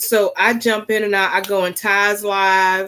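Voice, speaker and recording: A woman's voice sits at a medium pitch with a bright, sharp tone. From US South (Florida and South Carolina). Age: 40s. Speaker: YouTuber. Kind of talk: casual livestream chat.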